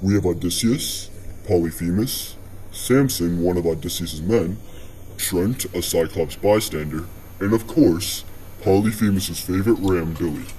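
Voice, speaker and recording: Over clear background noise, a man puts on a character voice at a very deep, low pitch. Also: moderate pace. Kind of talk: podcast host. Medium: audio drama.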